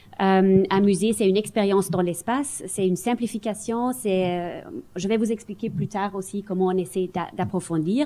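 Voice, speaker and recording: Her voice is medium in pitch with a dark, mellow tone. The woman speaks at a moderate pace with ordinary pitch variation. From Germany. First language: German (speaking French). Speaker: museum director. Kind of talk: panel discussion. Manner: halting.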